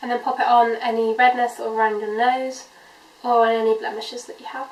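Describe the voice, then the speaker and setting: A woman with a high pitch and a British accent, fairly even intonation, big swings in loudness, and noticeable background noise. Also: fairly quick pace. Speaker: beauty vlogger. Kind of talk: makeup tutorial. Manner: casual, many 'um' fillers.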